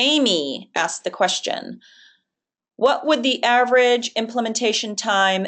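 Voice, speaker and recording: A woman talks with a Boston accent and ordinary pitch variation. Behind her the background is quiet. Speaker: webinar presenter. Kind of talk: webinar Q&A. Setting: online webinar.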